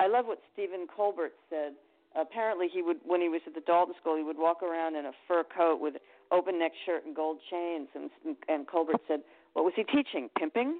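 An unremarkable speaking voice with an American accent, at a fairly quick pace, with ordinary pitch variation. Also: woman, fairly low pitch for a woman. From Connecticut, US. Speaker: singer, attorney and psychic reader. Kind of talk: interview.

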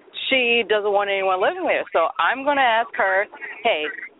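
Noticeable background noise beneath a woman's moderate-paced speech with ordinary pitch variation. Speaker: caller. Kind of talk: casual chat. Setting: outdoors.

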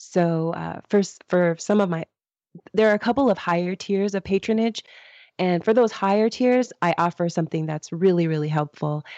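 With an American accent, a woman speaks at a medium pitch. Her pace is moderate and her pitch variation ordinary. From Los Angeles, US. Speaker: author and podcaster. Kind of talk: interview.

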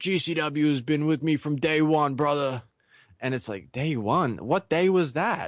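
A man with a plain, everyday voice, fairly high pitch and fairly slow pace over a quiet background. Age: 30s. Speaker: wrestling podcast host. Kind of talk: casual chat.

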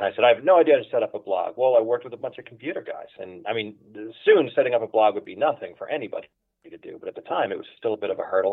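Speaking at a very fast pace, a man talks with an American accent. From Philadelphia, US. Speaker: book editor and publisher. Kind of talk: casual interview chat.

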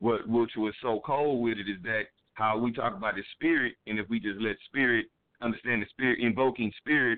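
A man with an American accent has a plain, everyday voice and a medium pitch. He moves at a fairly quick pace with ordinary pitch variation. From Houston, Texas.

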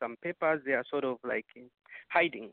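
A man with a plain, everyday voice talks at a fairly quick pace, his fairly high pitch showing ordinary variation. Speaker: caller, association leader. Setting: phone call.

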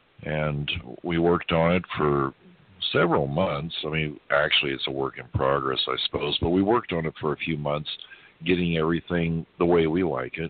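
A man with an American accent speaks at a moderate pace in a very deep, low voice. His intonation stays fairly even, and background noise is noticeable. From US South. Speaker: energy healer. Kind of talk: interview. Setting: phone call.

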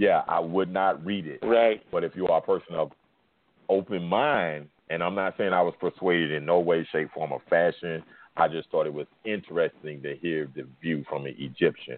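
In an American accent, a man speaks with a very deep, low pitch and ordinary pitch variation. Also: moderate pace. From US South. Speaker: sports podcast host. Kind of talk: casual chat.

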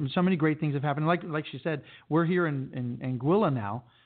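A man with a fairly high pitch and ordinary pitch variation, talking at a fairly quick pace in an ordinary speaking voice. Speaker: radio host and entertainment agent. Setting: radio studio, Anguilla.

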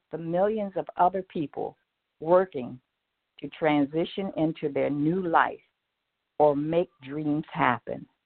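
Speaking very slowly, a woman uses a very deep, low voice with ordinary pitch variation. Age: 70s. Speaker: radio host and speaker. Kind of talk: motivational broadcast monologue. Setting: online radio broadcast with call-ins. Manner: encouraging, inspirational.

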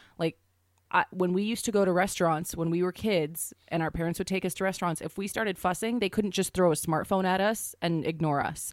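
At a fairly quick pace, a woman speaks in a plain, everyday voice, medium in pitch with fairly even intonation, in a very clean recording with a silent background. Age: 20s. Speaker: podcast co-host. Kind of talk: casual comedic chat.

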